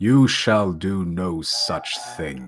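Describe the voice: A man puts on a character voice. It is booming and very deep, with a very low pitch.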